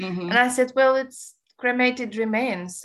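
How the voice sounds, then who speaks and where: In a Romanian accent, a woman speaks with a fairly high pitch. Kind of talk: casual interview.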